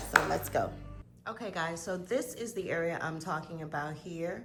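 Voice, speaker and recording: Audible room echo surrounds a woman speaking at a moderate pace, her fairly low pitch showing ordinary variation. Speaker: home DIY vlogger. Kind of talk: casual vlog talk to camera. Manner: animated, rambling.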